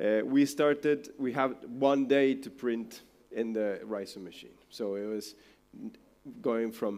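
Moderately paced male speech, the pitch varying in an ordinary way. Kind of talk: presentation talk. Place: hall.

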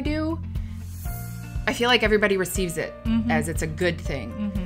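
A woman at a moderate pace over clear background music. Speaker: interview guest, sales director. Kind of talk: interview answer. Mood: cheerful, proud, laughing. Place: home room. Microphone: lapel.

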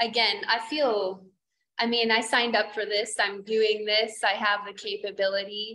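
The speaker is a woman with monotone, flat intonation. She moves at a moderate pace. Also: fairly high pitch for a woman, very even loudness. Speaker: yoga teacher. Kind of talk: casual chat. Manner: intense; laughs often. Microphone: video call.

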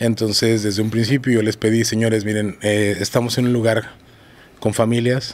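Delivered at a moderate pace, a man's speech has monotone, flat intonation. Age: 40s. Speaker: bodyguard; podcast guest. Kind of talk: casual interview. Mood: candid, serious. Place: studio. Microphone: studio mic.

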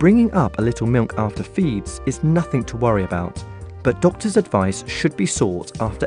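Over music in the background, a man with fairly low pitch speaks at a fairly quick pace with very wide pitch swings. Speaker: voice actor. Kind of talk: health information narration.

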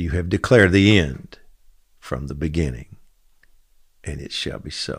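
Speaking at a moderate pace with long, frequent pauses, this voice shows vocal fry, ordinary pitch variation and big swings in loudness over a quiet background. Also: man, very deep, low pitch for a man. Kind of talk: fervent prayer and decree, preaching; daily devotional post read aloud. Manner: earnest, impassioned; urgent, rallying. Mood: calm, earnest, reverent. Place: studio. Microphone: studio mic.

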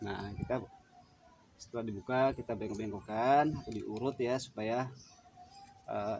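Light background noise sits behind a man's voice. He speaks at a moderate pace with fairly even intonation. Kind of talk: tutorial. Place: garden. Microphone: phone near.

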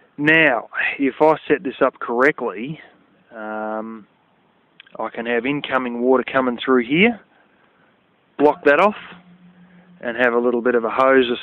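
A man with an Australian accent speaks at a fairly slow pace, leaving long, frequent pauses. The sound is dry with no echo. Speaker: DIY video maker. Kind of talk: casual vlog tutorial. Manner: animated. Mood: frank, somewhat annoyed. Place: open country. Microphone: phone near.

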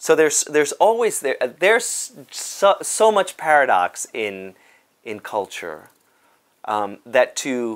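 Against a quiet background, a man speaks at a very slow pace and a fairly high pitch, with very wide pitch swings. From Cuba, raised in South Bronx, New York; Cuba. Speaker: dance company artistic director. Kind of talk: interview monologue. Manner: halting, many fillers. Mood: warm, animated, smiling. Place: office. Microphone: lapel.

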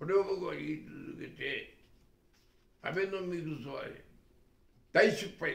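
Big swings in loudness mark a man's fairly slow speech, heard with audible room echo. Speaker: retired business executive and commentator. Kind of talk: political and economic commentary talk. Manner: rambling run-on speech. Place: home room. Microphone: camera far.

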